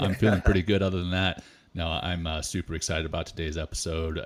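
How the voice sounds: Putting on a character voice, a man talks at a very fast clip in a very deep, low register that is hoarse and raspy, his intonation fairly even.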